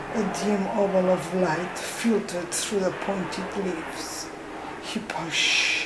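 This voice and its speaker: Speaking very slowly with a non-native accent, a woman at medium pitch comes through over noticeable background noise. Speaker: storyteller. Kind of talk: bedtime story reading.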